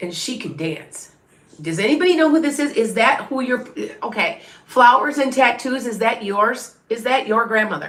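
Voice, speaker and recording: A woman speaks with a high pitch and lively intonation at a moderate pace. Room echo is audible. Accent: American. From southern Wisconsin near Illinois state line. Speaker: tarot reader and medium. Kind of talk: live stream psychic reading. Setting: live stream. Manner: chatty, halting with restarts.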